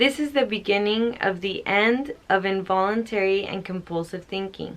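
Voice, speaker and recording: Moderate pace and medium pitch from a woman with a plain, everyday voice and ordinary pitch variation. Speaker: spiritual book reader and commentator. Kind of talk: book reading with casual commentary.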